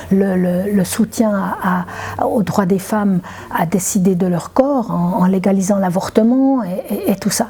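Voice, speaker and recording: A woman speaks at a fairly slow pace, her medium pitch showing ordinary variation. Noticeable background noise runs through the clip. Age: 70s. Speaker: retired climate activist. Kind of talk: interview testimony. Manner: halting, many repetitions and hesitations.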